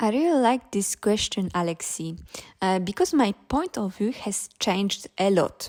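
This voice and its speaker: A woman with a Polish accent speaks fairly slowly at medium pitch with lively intonation, on a very clean recording with a silent background and a dry, close sound with no echo. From Poland. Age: 20s. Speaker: startup founder. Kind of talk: interview.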